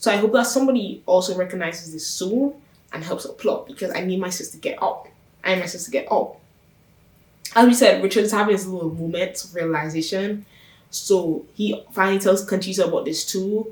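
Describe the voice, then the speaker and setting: A woman at medium pitch speaks at a fairly quick pace with ordinary pitch variation. Her animated tone is somewhat breathy. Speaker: YouTuber reviewing a TV show. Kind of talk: casual TV recap vlog. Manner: fast.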